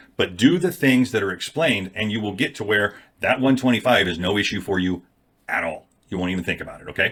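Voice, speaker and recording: Lively intonation marks this man's fairly low voice as he talks at a very fast pace. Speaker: affiliate marketer, YouTuber. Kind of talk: casual talking-head video.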